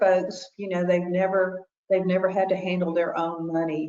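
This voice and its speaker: Her voice fairly low, a woman with an ordinary speaking voice talks at a moderate pace. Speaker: consumer protection educator. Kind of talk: webinar presentation.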